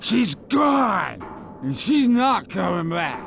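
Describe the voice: Over faint background noise, a man puts on a character voice with vocal fry, high pitch, big pitch swings and a very slow pace. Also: fairly bright tone.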